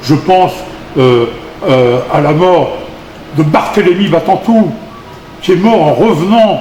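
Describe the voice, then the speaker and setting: A man with a high pitch speaks at a very slow pace amid noticeable background noise and audible room echo. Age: 70s. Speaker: activist. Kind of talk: interview. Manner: halting.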